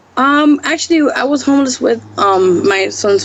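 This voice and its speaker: Lively intonation carries the speech in an American accent, with noticeable background noise behind it. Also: woman. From New York City. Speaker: singer-songwriter and actress. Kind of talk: interview answer.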